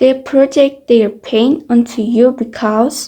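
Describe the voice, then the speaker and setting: A woman with a non-native accent speaks at a very slow pace in a high pitch, her tone dark and mellow. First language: not English. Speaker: YouTuber. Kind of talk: personal testimony vlog.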